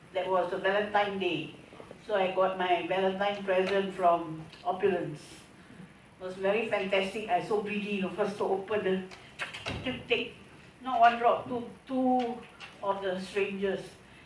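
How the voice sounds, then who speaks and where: With fairly even intonation, a woman's medium-pitched voice is heard amid audible room echo. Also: moderate pace. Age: 60s. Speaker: customer giving testimonial. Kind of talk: testimony.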